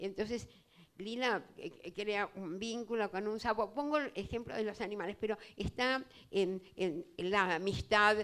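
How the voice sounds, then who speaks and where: At a fairly slow pace, a woman of medium pitch speaks with ordinary pitch variation in a Rioplatense accent. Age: 80s+. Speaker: writer and writing teacher. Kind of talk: public literary talk.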